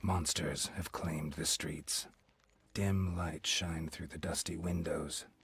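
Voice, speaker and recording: Using a put-on character voice, a man speaks fairly slowly at a very deep, low pitch. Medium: video game. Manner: grim, brooding.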